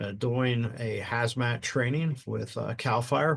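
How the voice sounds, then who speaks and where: Somewhat breathy and in an American accent, a man speaks at medium pitch with ordinary pitch variation. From US Northeast, southern New Jersey. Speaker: retired fire chief and podcast host. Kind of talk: casual podcast chat. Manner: straightforward, blunt.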